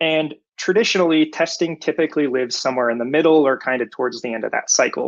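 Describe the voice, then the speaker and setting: Against a quiet background, a man with a General American accent talks very fast at a fairly high pitch, with ordinary pitch variation. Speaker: software QA engineer. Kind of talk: conference talk.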